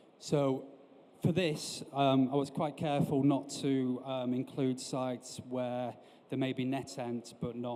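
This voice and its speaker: In a northern English accent, a man speaks at a fairly slow pace with a dark, mellow tone and monotone, flat intonation. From northern England. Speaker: industry analyst and company director. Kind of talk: conference presentation. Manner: hesitant, frequent fillers.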